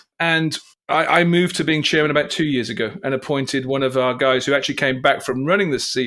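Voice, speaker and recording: Speaking at a very fast pace, a man with a British accent has a fairly high pitch and a bright, sharp tone. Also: fairly even intonation. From United Kingdom. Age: 60s. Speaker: business founder and chairman. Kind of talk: podcast interview.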